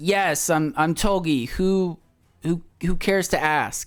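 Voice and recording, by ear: A gruff, put-on character voice delivered at a fairly slow pace with ordinary pitch variation. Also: man, high pitch for a man.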